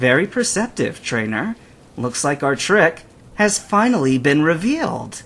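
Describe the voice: A man puts on a character voice with a fairly high pitch and a fairly bright tone. He speaks at a fairly slow pace with big pitch swings.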